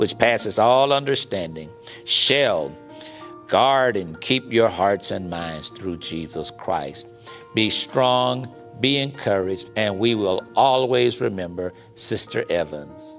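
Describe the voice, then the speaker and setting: A man with an American accent talks at a very slow pace. His intonation is lively, and faint music plays in the background. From Shreveport, Louisiana, USA. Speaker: pastor. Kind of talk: eulogy with scripture reading. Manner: warm, sincere, measured. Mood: warm, consoling. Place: studio.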